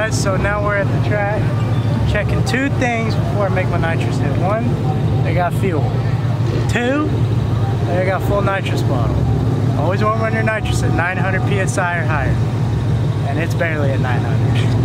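With long, frequent pauses, a man talks at a moderate pace and ordinary pitch variation over loud background noise, in a dry sound with no echo. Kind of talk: casual vlog chat. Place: street. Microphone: phone near.

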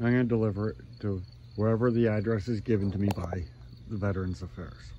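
The voice moves at a moderate pace with lively intonation, recorded dry with no echo over light background noise. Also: man. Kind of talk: casual vlog chat. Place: garden. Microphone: phone near.

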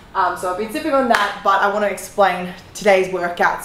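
The speech moves at a fairly quick pace. Audible room echo sits over light background noise. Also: woman. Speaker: fitness creator. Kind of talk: casual vlog chat. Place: gym.

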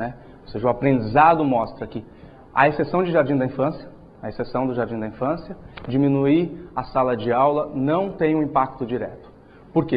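A man's somewhat breathy voice moves at a moderate pace, its pitch varying in an ordinary way. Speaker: presenter. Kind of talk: lecture. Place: hall. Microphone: lapel.

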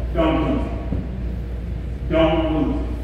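Recorded with strong room echo and noticeable background noise, a man is speaking. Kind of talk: announcements to a group. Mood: firm, slightly scolding. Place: hall. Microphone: camera far.

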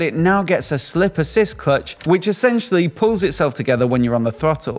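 The pace of this man's speech is fairly quick. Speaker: motorcycle reviewer. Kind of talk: product overview commentary. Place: home room. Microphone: studio mic.

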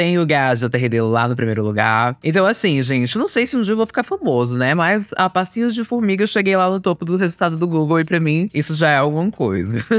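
A man speaks at a fairly quick pace in a fairly high voice, with very wide pitch swings, very even loudness and hardly any pauses, against a quiet background in a dry sound with no echo. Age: 20s. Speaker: youtuber. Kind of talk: casual monologue. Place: studio.

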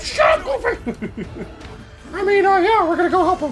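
Over clear background noise, a man performs a cartoonish character voice. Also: moderate pace. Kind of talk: cartoon impression. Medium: game stream. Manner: irritable, shouting.

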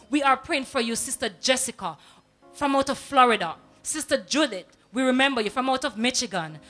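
With faint music playing behind her, a woman talks fairly quickly in a high voice. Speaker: TV presenter. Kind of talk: on-air greetings and prayer shout-outs. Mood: warm, devotional. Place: studio. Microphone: handheld.

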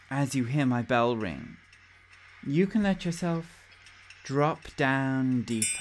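Very slow speech in a soothing, calm tone with long, frequent pauses. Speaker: hypnosis meditation guide. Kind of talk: guided hypnosis meditation. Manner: slow, soothing, calm and hypnotic; gently directive, with pauses and repeated words.

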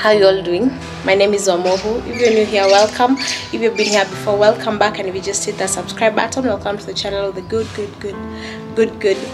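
Clear music plays behind a woman who talks at a fairly quick pace with fairly even intonation. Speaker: vlogger. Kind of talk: casual vlog chat. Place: home room. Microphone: phone near.

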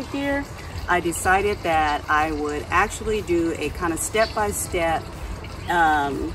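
Noticeable background noise under a woman's voice. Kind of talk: casual vlog chat. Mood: friendly, relaxed. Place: garden. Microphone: camera far.

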